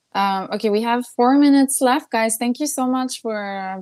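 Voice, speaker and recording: With a French accent, a woman speaks with ordinary pitch variation in a very clean recording with a silent background. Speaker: singer-songwriter. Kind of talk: casual chat. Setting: livestream. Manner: halting.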